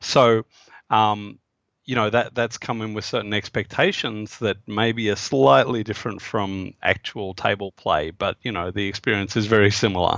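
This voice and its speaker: With an Australian accent, a man talks at a fairly low pitch and moderate pace with ordinary pitch variation, in a dry, close sound with no echo and a quiet background. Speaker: game designer. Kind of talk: interview. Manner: halting, many fillers.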